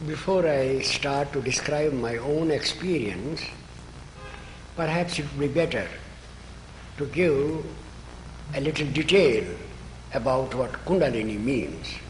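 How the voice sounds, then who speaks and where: With an Indian accent, a man talks at a fairly slow pace in a fairly high pitch, with ordinary pitch variation. Long, frequent pauses and noticeable background noise fill the clip. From Kashmir, northern India. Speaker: spiritual author. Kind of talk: interview answer.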